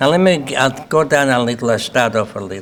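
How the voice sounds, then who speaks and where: Noticeable background noise runs behind a man speaking at a medium pitch. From Lithuania, Kaunas. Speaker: Holocaust survivor. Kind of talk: testimony.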